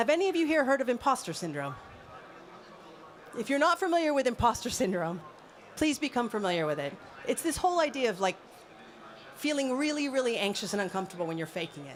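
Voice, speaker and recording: With an American accent, a woman talks at a very fast pace in a high pitch, her voice swinging very widely and broken by long, frequent pauses. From US, Los Angeles. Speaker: mentor and independent consultant. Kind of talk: conference talk. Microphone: handheld mic held close to mouth.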